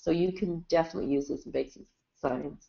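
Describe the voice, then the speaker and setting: Talking at a fairly quick pace, a woman has a plain, everyday voice with ordinary pitch variation. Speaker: clinical scientist. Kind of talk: webinar Q&A answers. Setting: webinar.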